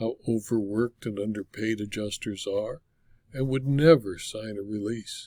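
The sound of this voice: The voice is an unforced reading voice. Pitch varies in an ordinary way.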